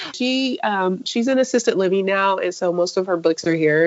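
Speaking with an American accent, a woman talks at a fairly quick pace in a medium pitch with lively intonation. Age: 50s. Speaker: engineer and baking blogger. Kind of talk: casual interview. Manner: halting, with repeated words.

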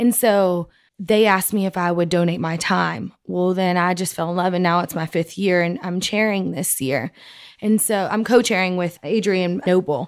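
A woman's medium-pitched voice in a West Texas accent, at a moderate pace with ordinary pitch variation, on a very clean recording with a silent background. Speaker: oilfield sales account manager. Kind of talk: interview. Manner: animated.

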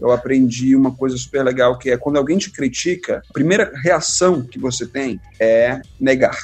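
Music plays in the background as a man speaks. His pitch is fairly high and his pace is moderate. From Brazil, Belo Horizonte then Fortaleza from early teens. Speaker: biology professor and science communicator. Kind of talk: casual interview.

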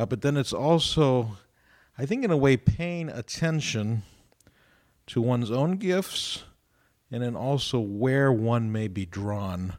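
Speaking with an American accent, this voice moves at a very slow pace with lively intonation and long, frequent pauses. The recording is very clean, with a silent background. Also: man, medium pitch for a man. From Ohio, US. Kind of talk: radio discussion on faith topics. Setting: radio studio.

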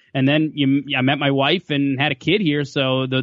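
With an Upper Midwest accent, a man speaks at a fairly high pitch. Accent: Upper Midwest American. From western Minnesota. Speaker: sportscaster. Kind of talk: casual chat. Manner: halting, many fillers.

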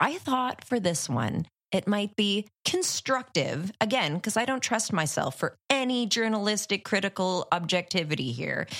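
In a Canadian accent, the speaker talks fairly slowly with vocal fry and very wide pitch swings on a very clean recording with a silent background. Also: woman. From Ottawa, Canada. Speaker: horror podcast co-host. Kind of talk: casual film discussion.

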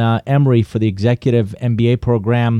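Speaking at a moderate pace with a Persian accent, a man uses a medium-pitched voice with a dark, mellow tone, recorded dry and close with no echo against a quiet background. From Iran. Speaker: business consultant and author. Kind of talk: interview.

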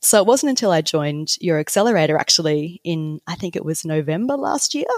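In an Australian accent, a woman with a very deep, low pitch speaks in a dry, close sound with no echo. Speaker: copywriter. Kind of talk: interview conversation.

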